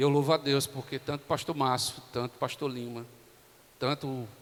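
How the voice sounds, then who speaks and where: The man's pitch is fairly high, and his intonation is fairly even. He keeps a moderate pace. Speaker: pastor. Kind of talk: sermon. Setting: church. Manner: soft-spoken.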